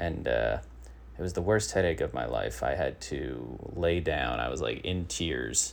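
A man talks at a fairly slow pace in a very deep, low voice with vocal fry. Audible room echo is present. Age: 30s. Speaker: comedy podcast host. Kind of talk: comedic news monologue. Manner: halting.

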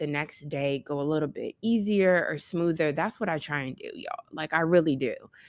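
Against a quiet background, a woman with an ordinary speaking voice talks at a moderate pace with lively intonation, in a dry, close sound with no echo. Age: 30s. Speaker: podcast host, mother. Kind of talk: casual solo chat. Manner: conversational, filler-heavy.

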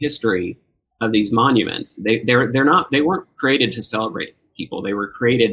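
A man with an unremarkable speaking voice talks at a moderate pace, his pitch varying in an ordinary way. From US South. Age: 50s. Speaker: screenwriter. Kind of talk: interview.

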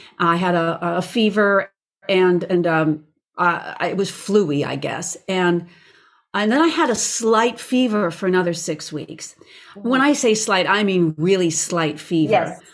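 An unremarkable speaking voice at a fairly slow pace, with ordinary pitch variation. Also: woman, medium pitch for a woman. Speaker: voice teacher and recording artist. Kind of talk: casual interview chat.

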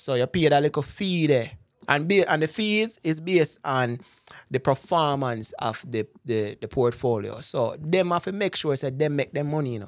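A man with a Jamaican accent speaks at a fairly high pitch, his intonation lively. The recording is very clean, with a silent background. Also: moderate pace. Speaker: investment broker. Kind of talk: casual interview about personal finance.

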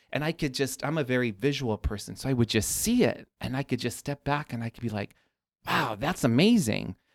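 In an American accent, a man with a medium pitch, ordinary pitch variation and vocal fry talks at a fairly quick pace, recorded very cleanly with a silent background and a dry, close sound with no echo. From Chicago south suburbs. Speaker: garden designer, business owner. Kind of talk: casual interview.

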